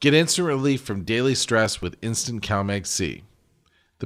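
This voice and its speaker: The speaker is a man with an unremarkable speaking voice. He shows ordinary pitch variation. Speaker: podcast host. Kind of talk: radio-style ad read.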